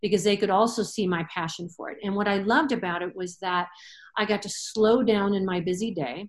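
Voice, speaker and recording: Speaking in a plain, everyday voice with an American accent, a woman talks at a fairly quick pace and medium pitch with ordinary pitch variation. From Michigan, US. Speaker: veterinarian. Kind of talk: casual interview.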